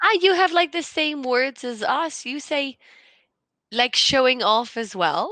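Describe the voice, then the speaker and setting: A woman uses a raised, projected voice, high in pitch, with a bright, sharp tone and very wide pitch swings. She talks at a fairly slow pace over a quiet background. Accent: Irish. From Ireland. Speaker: conversation partner. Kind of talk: casual chat.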